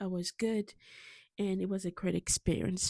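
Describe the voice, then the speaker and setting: The voice has a dark, mellow tone and a monotone, flat intonation at a fairly slow pace. The sound is dry and close with no echo, on a very clean recording over a silent background. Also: woman. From Africa. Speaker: pastor. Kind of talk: personal story vlog. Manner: hesitant, many fillers.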